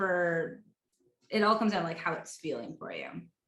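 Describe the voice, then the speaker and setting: Room reverberation is audible as a woman talks at a middling speed. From East Coast of Canada. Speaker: money mindset coach. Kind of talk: interview.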